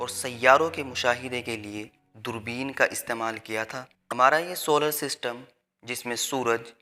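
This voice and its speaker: A man's medium-pitched voice with fairly even intonation and big swings in loudness, over music in the background. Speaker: channel owner and voice-over artist. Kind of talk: educational science narration.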